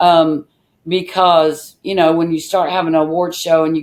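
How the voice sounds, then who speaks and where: Speaking with an American accent, a woman uses a fairly low pitch, fairly even intonation and a moderate pace. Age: 60s. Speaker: music association founder. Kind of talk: interview. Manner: hesitant with fillers.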